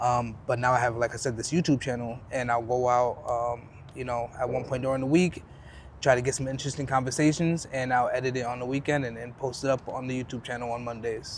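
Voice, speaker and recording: A man speaks at a very fast pace in a somewhat breathy, medium-pitched voice. His intonation is monotone and flat. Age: 20s. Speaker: YouTube interviewer. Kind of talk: casual street conversation. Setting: outdoors.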